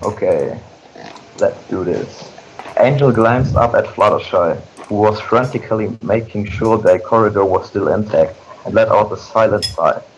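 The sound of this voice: A man's fairly low voice with lively intonation, at a fairly slow pace, with audible room echo.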